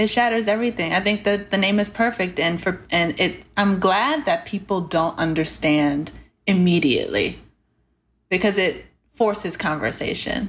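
A woman talks in a normal speaking voice, her loudness very even and her pitch varying in an ordinary way. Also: medium pitch for a woman, moderate pace. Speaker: entrepreneur, panelist. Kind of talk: casual panel discussion.

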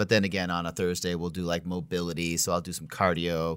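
A man with an American accent talks very fast at a very deep, low pitch, in a monotone, flat intonation. The recording is very clean, with a silent background. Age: 40s. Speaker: chiropractor and podcast host. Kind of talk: casual interview chat.

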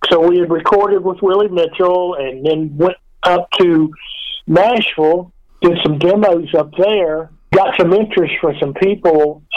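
Speaking with a Memphis accent, the man has a high pitch, fairly even intonation and a fairly slow pace. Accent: Memphis Southern US. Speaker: rock guitarist. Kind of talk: casual interview.

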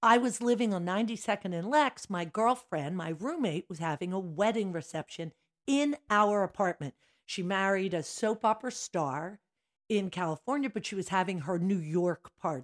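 With an ordinary speaking voice, a woman talks at a moderate pace and medium pitch with lively intonation, in a dry, close sound with no echo and a very clean recording with a silent background. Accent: American. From Philadelphia area, Pennsylvania. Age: 60s. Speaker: dance studio owner. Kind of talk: casual chat.

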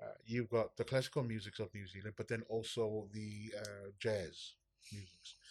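On a very clean recording with a silent background, a man with a Samoan accent speaks at medium pitch and a moderate pace. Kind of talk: casual chat. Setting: studio. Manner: animated.

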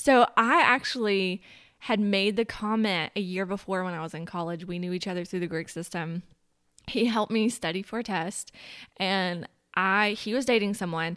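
A woman with a plain, everyday voice, moderate pace and ordinary pitch variation. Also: medium pitch for a woman. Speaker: guest. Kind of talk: casual chat.

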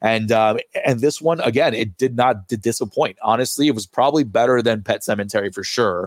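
A man with an American accent speaks in a normal speaking voice at medium pitch with ordinary pitch variation. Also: fairly quick pace. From New York. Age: 30s. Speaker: podcast host. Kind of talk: casual chat.

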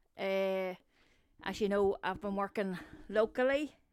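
The speaker has a Northern Irish accent and talks at a fairly slow pace. The recording is very clean, with a silent background. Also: woman. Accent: Northern Irish (Newry). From Northern Ireland, Newry. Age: 50s. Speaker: theatre set and props designer. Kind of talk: casual chat.

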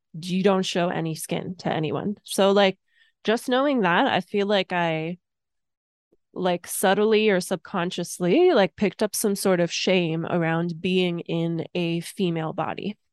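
A woman with a plain, everyday voice speaks at a fairly slow pace and medium pitch with ordinary pitch variation, recorded dry and close with no echo against a quiet background. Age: 30s. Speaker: podcast host. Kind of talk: solo podcast monologue. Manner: casual, filler-heavy.

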